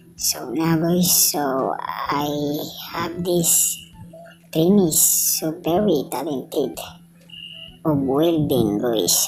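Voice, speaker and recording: A woman with a Filipino accent and a very deep, low pitch, at a very slow pace with long, frequent pauses, amid noticeable background noise and audible room echo. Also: ordinary pitch variation. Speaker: welding trainer and vlogger. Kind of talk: casual vlog. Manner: halting.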